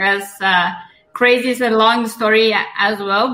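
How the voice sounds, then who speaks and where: With a Persian accent, a woman speaks at a fairly high pitch. Her intonation is fairly even. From Iran. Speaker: entrepreneur. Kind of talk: casual chat. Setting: online audio room.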